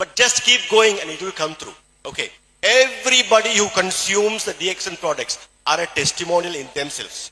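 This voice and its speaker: Speaking with a Keralan accent, this man uses a high pitch and a fairly quick pace. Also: lively intonation. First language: Malayalam. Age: 60s. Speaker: doctor and supplement distributor speaker. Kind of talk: motivational talk.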